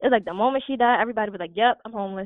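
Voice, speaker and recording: A woman speaks in an animated tone. She has an American accent. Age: 20s. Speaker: real estate investor. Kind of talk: interview.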